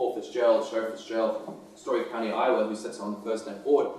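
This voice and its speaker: A man talks at a fairly quick pace, his loudness swinging widely. Noticeable background noise and audible room echo sit behind him. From South Africa. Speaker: government affairs official. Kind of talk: presentation. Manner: hesitant, many fillers and repetitions.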